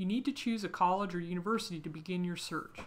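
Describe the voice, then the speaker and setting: A woman speaks at a fairly quick pace. She has a normal speaking voice. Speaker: career guidance company executive. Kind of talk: tutorial.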